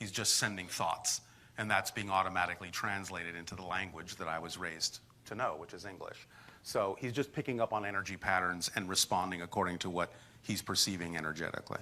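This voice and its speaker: A man's very deep, low voice with a bright, sharp tone, fairly even intonation and a very fast pace. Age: 60s. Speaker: spiritual channeler. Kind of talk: audience Q&A. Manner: halting.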